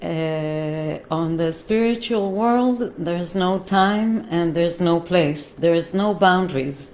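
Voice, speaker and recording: A woman with a non-native accent speaks at a very slow pace with hardly any pauses, her voice fairly low with ordinary pitch variation. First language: not English. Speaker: holistic healer. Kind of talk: live stream talk. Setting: live stream from computer. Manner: halting, many fillers.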